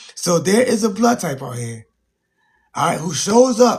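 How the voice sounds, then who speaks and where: With an animated tone, a man speaks in very wide pitch swings. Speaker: livestream teacher on blood types. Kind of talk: casual live stream talk with chat. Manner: animated, repetitive.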